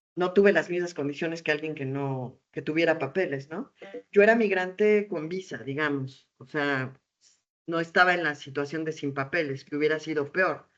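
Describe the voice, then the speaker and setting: A woman speaks with a very deep, low voice. Her pitch moves up and down in an ordinary way. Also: moderate pace. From Mexico, Puebla (Tehuacán). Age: 40s. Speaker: theatre artist and storyteller. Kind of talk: interview. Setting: video call. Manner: animated.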